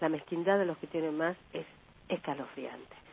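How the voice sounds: Speaking at a moderate pace, a woman has a low-pitched voice.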